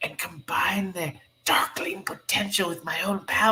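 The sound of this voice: Reading done in an unforced voice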